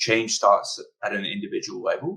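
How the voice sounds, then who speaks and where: A man with a Scottish accent. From Scotland, Glasgow. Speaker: interviewer. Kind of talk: panel discussion.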